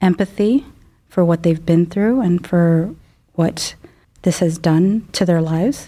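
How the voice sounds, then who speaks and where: A woman with a Chicago accent has a dark, mellow tone and a fairly low pitch. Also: very clean recording, silent background. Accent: Chicago-area American. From US Midwest, Chicago suburbs. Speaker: neurologist. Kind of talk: medical podcast interview.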